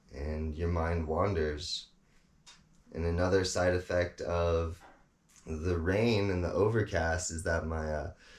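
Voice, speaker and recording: A man with an American accent and a very deep, low pitch speaks at a very slow pace, somewhat breathy, with fairly even intonation and long, frequent pauses. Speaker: off-grid vlogger. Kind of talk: casual reflective monologue. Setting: indoors in a cabin. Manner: slow-paced; calm, hesitant with fillers.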